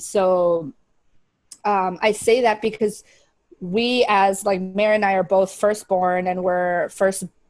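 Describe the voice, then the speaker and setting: Someone speaks at a fairly slow pace in a Spanish accent. The intonation stays monotone and flat. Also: woman. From US, partly raised in Paraguay. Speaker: video podcast co-host. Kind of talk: casual chat.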